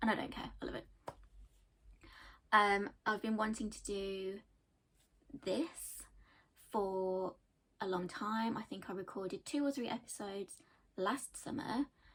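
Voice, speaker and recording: Speaking at a fairly slow pace with long, frequent pauses, a woman with an English Midlands accent uses ordinary pitch variation. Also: medium pitch for a woman. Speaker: knitting podcaster, accountant by day. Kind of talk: casual chat.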